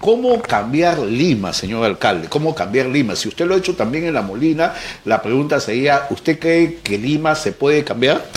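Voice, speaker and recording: Over noticeable background noise, a man with a fairly high voice talks at a moderate pace with hardly any pauses and very wide pitch swings. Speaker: news show host. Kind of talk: interview.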